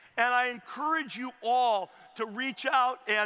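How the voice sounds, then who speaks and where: A man with an American accent speaks in an energetic, enthusiastic tone. His raised, projected voice sits at an extremely high pitch. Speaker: commencement speaker, former tech company CEO. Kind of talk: commencement speech to a live stadium audience. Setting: outdoor stadium with PA system. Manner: energetic, fired up, enthusiastic.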